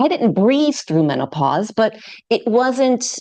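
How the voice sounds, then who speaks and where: A woman speaks with a New York accent and lively intonation. Her tone is dark and mellow. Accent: American (New York). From New York City. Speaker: yoga teacher. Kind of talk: podcast interview.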